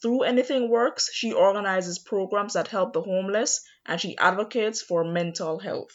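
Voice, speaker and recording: At a moderate pace with hardly any pauses, a woman talks in an unremarkable speaking voice, medium in pitch, with ordinary pitch variation. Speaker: podcast host. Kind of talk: interview.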